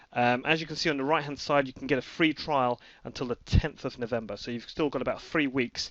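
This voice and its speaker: The speech moves at a very fast pace with hardly any pauses. Its intonation is fairly even. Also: man, medium pitch for a man. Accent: British. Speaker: horse racing tipster. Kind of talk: screen-recorded promotional update. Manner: hesitant, many fillers.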